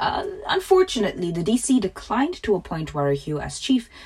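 Her tone is dark and mellow, and somewhat breathy. The woman speaks at a fairly quick pace. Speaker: podcast host. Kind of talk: scripted narration; casual chat. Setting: home closet studio.

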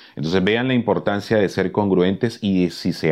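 A man with a very deep, low voice talks at a fairly quick pace with ordinary pitch variation. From Caribbean. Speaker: podcast host, love and relationships coach. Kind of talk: motivational talk.

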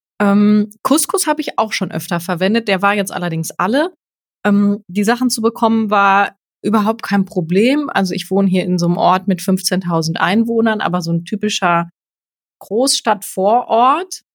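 With an unremarkable speaking voice, a woman talks at a moderate pace and medium pitch, showing ordinary pitch variation. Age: 30s. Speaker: journalist and freelance presenter, podcaster. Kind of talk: casual chat.

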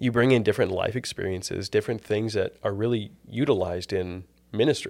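On a very clean recording with a silent background, a man with an American accent uses a plain, everyday voice, fairly low in pitch, with ordinary pitch variation and a moderate pace. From US South, Tennessee. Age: 20s. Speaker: seminary student. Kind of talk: casual chat interview.

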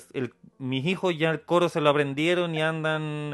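A man speaks with a Chilean accent at a fairly high pitch. His intonation is fairly even. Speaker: podcast host. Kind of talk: casual chat.

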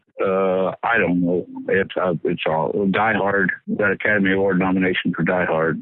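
A man's very deep, low voice at a moderate pace, with monotone, flat intonation and very even loudness. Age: 70s. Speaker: special effects pyrotechnician. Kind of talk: interview.

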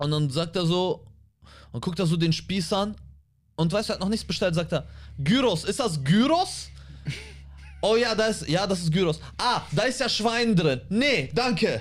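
A high-pitched man at a moderate pace, lively intonation, long and frequent pauses. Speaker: comedian and podcast co-host. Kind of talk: casual chat. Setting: studio.

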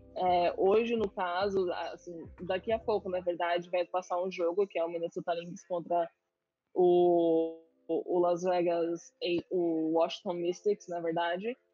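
A woman speaks at a fairly slow pace in a fairly low pitch, her intonation monotone and flat. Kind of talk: casual interview on a live stream. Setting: online live stream. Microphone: audio freezing on the connection.

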